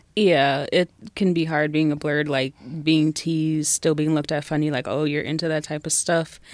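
A woman with an American accent speaks with a very deep, low pitch and monotone, flat intonation. Her pace is moderate, and the recording is very clean, with a silent background. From Southfield and Detroit, Michigan. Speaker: blogger and cosplayer. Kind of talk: casual chat.

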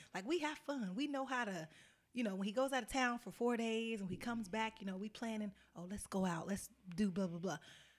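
A woman with an unremarkable speaking voice talks at a fairly quick pace, her pitch fairly high and her intonation lively. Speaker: mother and family business worker. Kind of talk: casual chat.

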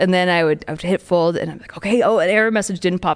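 A woman with a plain, everyday voice and a fairly low pitch talks against a quiet background. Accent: American. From California. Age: 20s. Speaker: poker player and former actor, comedian. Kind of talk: casual chat. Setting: studio.

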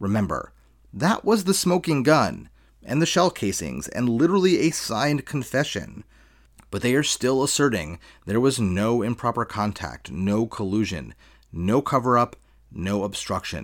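Vocal fry runs through a man's medium-pitched voice, which has very wide pitch swings at a moderate pace. The recording is very clean, with a silent background. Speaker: podcast host. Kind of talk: scripted political commentary podcast.

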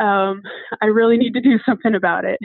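In an American accent, a woman with an unremarkable speaking voice speaks at a medium pitch and a moderate pace. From Utah. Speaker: nurse. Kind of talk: interview.

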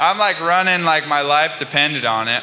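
A fairly high-pitched male voice at a moderate pace, with ordinary pitch variation, audible room echo and noticeable background noise. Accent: American. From California. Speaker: pro skateboarder. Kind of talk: casual chat. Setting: stage with audience.

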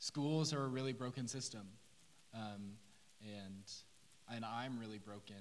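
A man with an American accent speaks at a moderate pace in a medium pitch, his intonation fairly even, with audible room echo. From Oklahoma City. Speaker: first-year teacher. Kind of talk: testimony. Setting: church stage.

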